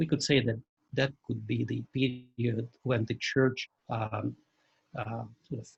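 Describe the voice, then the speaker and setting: The voice carries vocal fry and moves at a very slow pace. Intonation stays fairly even, and the sound is dry and close with no echo. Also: man. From Russia. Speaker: church journalist and editor. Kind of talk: lecture. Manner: halting, many fillers.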